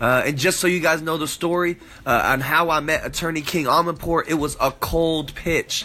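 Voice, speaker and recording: A man with an American accent talks in an energetic tone at a high pitch over noticeable background noise. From San Diego, California. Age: 20s. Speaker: podcast host, entrepreneur. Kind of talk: casual monologue.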